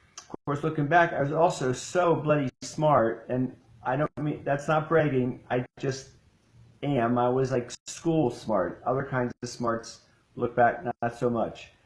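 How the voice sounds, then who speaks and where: A man with an American accent at a medium pitch, somewhat breathy, with ordinary pitch variation, a fairly slow pace, and a dry, close sound with no echo. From US Midwest (Ohio). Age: 70s. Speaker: ADHD coach. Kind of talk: casual live-stream chat. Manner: hesitant, many fillers.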